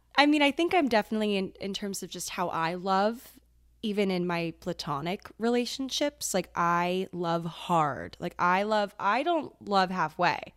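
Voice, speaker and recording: A woman with an American accent, medium pitch and lively intonation, at a fairly slow pace with hardly any pauses, in a very clean recording with a silent background. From Maryland, US. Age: 20s. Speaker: content creator and podcaster. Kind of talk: casual chat.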